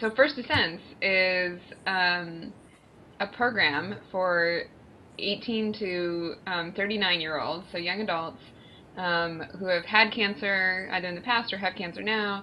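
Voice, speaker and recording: In an unremarkable speaking voice, a woman talks at a fairly slow pace. Her pitch is medium, with ordinary variation. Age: 30s. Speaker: cancer survivor podcast co-host. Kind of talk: casual chat.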